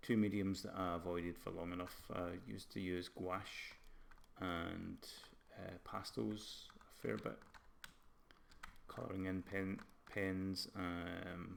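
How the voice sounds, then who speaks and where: A man's very deep, low voice with a slight Scottish accent, very slow with long, frequent pauses, amid audible room echo. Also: fairly even intonation. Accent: Scottish, some. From Scotland. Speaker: game art lecturer and live streamer. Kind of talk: casual live stream chat. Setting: live stream.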